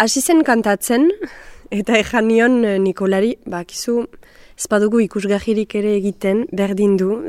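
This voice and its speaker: A woman talks in a normal speaking voice, her pitch fairly high with ordinary pitch variation. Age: 20s. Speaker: actress and singer. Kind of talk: interview.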